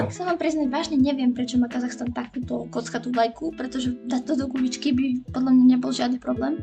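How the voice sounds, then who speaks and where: A woman talks at a fairly quick pace with hardly any pauses while music plays in the background. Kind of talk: casual drawing tutorial. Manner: humorous, casual.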